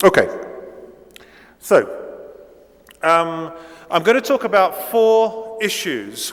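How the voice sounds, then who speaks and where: A man with a British accent speaks at a high pitch and a very slow pace. His pitch varies in an ordinary way, broken by long, frequent pauses. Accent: near-native British English. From Italy, raised in Britain from age eight. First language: Italian. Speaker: professor. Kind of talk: lecture. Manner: hesitant, many fillers.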